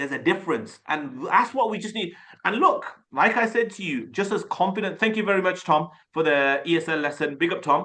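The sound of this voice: A man with a bright, sharp tone and high pitch talks at a fairly quick pace with lively intonation and few pauses.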